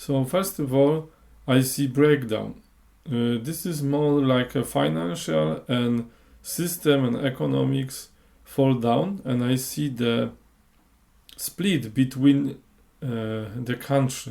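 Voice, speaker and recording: Speaking with a non-native accent in a dark, mellow tone, the voice moves at a very slow pace with lively intonation and long, frequent pauses. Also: man, medium pitch for a man. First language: Polish. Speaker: clairvoyant. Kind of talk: monologue podcast. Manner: halting.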